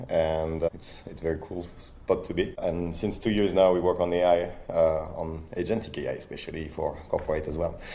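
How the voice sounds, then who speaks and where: A man with a French accent talks at a moderate pace with hardly any pauses and big swings in loudness, his voice carrying audible room echo. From France. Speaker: startup founder and CEO. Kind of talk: interview. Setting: podcast recording.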